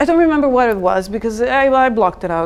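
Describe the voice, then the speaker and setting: Woman with a Serbian accent at a fairly high pitch, amid noticeable background noise. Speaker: designer. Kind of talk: meetup talk. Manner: animated.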